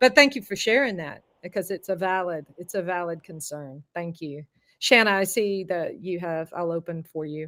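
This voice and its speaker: With a Southern US accent, a woman speaks at a moderate pace in a fairly low pitch, her tone bright and sharp and her intonation lively. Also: big swings in loudness. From US South. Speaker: voice and confidence coach. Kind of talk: online masterclass.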